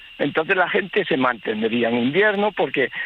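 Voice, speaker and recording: A man talks at a moderate pace with lively intonation. Noticeable background noise is present. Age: 60s. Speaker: livestock farmer, local resident. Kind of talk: radio phone interview. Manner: halting, many false starts.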